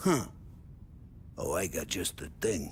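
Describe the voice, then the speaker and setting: Loud and raspy, a man performs a put-on character voice over clear background noise. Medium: video game. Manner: loud, jovial.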